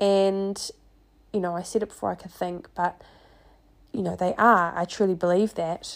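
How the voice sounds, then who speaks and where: With a New Zealand accent, a woman speaks in a very clean recording against a silent background. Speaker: podcast host and life coach. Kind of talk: casual solo monologue.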